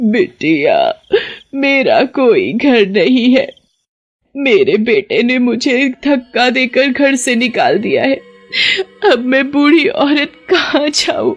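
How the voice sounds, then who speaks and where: Very slow delivery in a high-pitched, put-on character voice. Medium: read story. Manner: sweet on the surface, sinister underneath.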